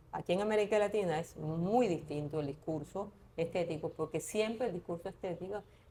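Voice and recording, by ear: A woman speaks at a moderate pace with ordinary pitch variation, her fairly low voice dark and mellow in tone.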